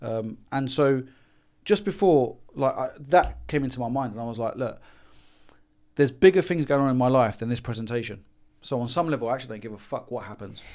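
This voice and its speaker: On a very clean recording with a silent background, a man with a London accent speaks at a fairly quick pace and medium pitch, with ordinary pitch variation and big swings in loudness. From London, England. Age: 40s. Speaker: business consultant. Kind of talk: podcast interview. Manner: animated.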